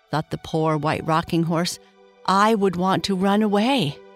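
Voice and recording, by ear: Someone is reading aloud in a natural voice, the pitch rising and falling in an ordinary way.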